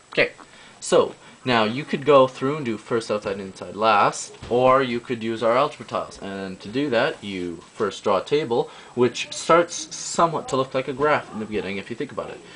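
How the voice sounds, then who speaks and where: Over noticeable background noise, a man of medium pitch speaks at a moderate pace with ordinary pitch variation and big swings in loudness. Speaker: math tutorial video maker. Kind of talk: tutorial. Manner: hesitant, many fillers and self-corrections.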